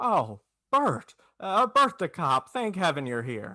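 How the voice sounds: A man puts on a character voice at a slow pace, pitched fairly high. The tone is bright and sharp, with big pitch swings.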